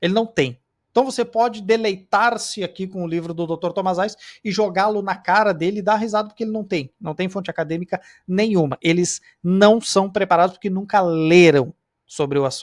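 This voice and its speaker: Animated in tone, a man speaks at a high pitch and fairly quick pace with ordinary pitch variation. The sound is dry and close with no echo, on a very clean recording with a silent background. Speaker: Bible study teacher. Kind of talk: lecture. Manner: fast.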